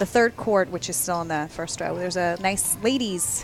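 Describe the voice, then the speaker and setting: A woman with an American accent speaks at a fairly low pitch and a moderate pace. Music plays in the background. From New York, Brooklyn. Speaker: poker commentator. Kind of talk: live commentary. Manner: casual, halting with restarts.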